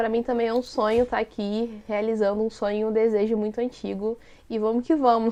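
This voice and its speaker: In a Rio de Janeiro accent, a woman speaks at a moderate pace with a dark, mellow tone. Her pitch is fairly high, and her intonation is monotone and flat. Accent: Carioca Brazilian Portuguese. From Brazil, Rio de Janeiro city. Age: 30s. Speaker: content creator and activist. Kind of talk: casual interview chat.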